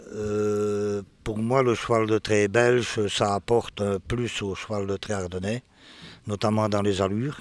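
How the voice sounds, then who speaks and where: Fairly even in intonation, the delivery is very slow. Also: man. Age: 60s. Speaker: draft horse breeder and show judge. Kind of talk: interview. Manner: hesitant, many fillers.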